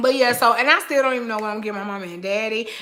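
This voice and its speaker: The background noise is noticeable. Through it comes a woman's fairly high voice. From Oakland, California. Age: 30s. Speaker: lifestyle vlogger. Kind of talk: live stream chat. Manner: casual, chatty.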